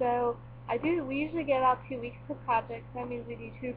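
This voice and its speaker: With noticeable noise behind her, a woman rattles along very fast. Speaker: student vlogger. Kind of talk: casual tutorial vlog. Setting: living room at home, webcam. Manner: casual with frequent fillers.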